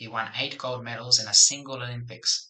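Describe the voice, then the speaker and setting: Quiet and monotone, a man speaks with flat intonation at medium pitch. His pace is moderate. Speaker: English teacher. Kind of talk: article reading. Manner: quiet, subdued.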